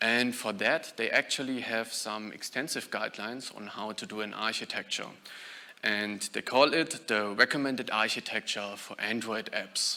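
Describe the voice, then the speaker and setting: Big swings in loudness mark this man's speech, delivered at a moderate pace in a German accent. His pitch is medium, with ordinary pitch variation. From Germany. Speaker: software engineer, conference speaker. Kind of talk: conference talk.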